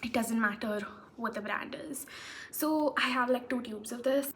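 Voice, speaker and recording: Over noticeable background noise, a woman with a high pitch speaks at a moderate pace in a monotone, flat manner. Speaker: beauty vlogger. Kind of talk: get-ready-with-me makeup tutorial.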